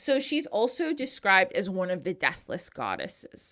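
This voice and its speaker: In an American accent, the speaker talks fairly slowly with an animated tone and lively intonation on a very clean recording with a silent background. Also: woman. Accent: New Jersey, strong at moments. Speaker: podcast host. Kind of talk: casual podcast storytelling.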